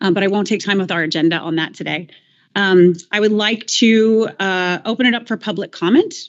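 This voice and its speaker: With an American accent, a woman with an unremarkable speaking voice talks at a medium pitch and a fairly quick pace, using ordinary pitch variation. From Missouri, US Midwest. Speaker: board chair, state agency director. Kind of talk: formal meeting chairing.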